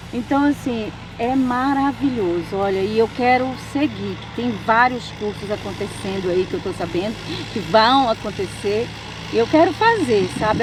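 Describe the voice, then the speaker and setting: Lively intonation marks a woman's fairly high voice at a fairly slow pace, with noticeable background noise. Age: 60s. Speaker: course participant. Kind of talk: interview testimony.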